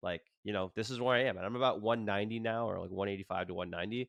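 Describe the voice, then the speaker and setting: A man speaks in a normal speaking voice with fairly low pitch. His pitch variation is ordinary. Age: 30s. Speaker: yoga instructor and podcast host. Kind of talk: casual interview chat.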